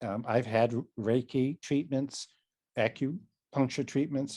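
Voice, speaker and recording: A man's dark, mellow voice at a fairly slow pace, fairly even in intonation, over a quiet background. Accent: Boston. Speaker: psychotherapist and mindfulness trainer. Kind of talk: casual interview conversation.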